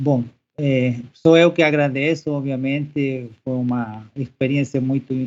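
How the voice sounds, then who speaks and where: Speaking with a Spanish accent, a man at a medium pitch talks at a fairly slow pace with fairly even intonation. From Chile, Santiago. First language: Spanish (speaking Portuguese). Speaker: professor. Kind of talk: podcast interview. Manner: halting.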